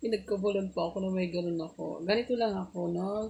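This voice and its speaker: Noticeable background noise sits under a soft-spoken woman speaking with an Ilocano accent. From Pangasinan, Philippines (Ilocana). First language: Ilocano (speaking Tagalog). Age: 40s. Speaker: livestreamer. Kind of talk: casual live stream chat.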